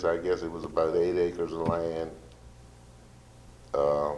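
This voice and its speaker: A man with an American accent, very deep and low in pitch, at a fairly slow pace. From Southern Maryland. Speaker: school bus contractor. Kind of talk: interview answer. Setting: church.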